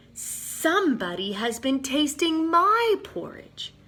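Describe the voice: In a put-on character voice, the speaker goes high in pitch with very wide pitch swings at a fairly slow pace.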